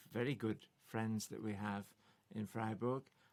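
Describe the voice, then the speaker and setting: A man speaks with a Potteries accent. His pitch sits in the medium range. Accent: Potteries (Stoke) English. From Stoke-on-Trent, England. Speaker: folk singer-songwriter. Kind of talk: casual chat.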